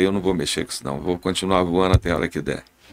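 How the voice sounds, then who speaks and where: Noticeable background noise runs behind a man speaking. His pitch is very deep and low, with ordinary pitch variation. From Brazil, Goiás. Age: 70s. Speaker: airline pilot. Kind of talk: podcast interview.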